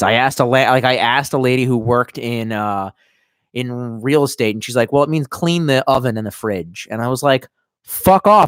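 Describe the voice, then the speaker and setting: At a fairly quick pace, a man talks at a medium pitch, the sound dry and close with no echo. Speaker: livestreamer. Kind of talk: casual chat. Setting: livestream, reading chat. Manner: loud.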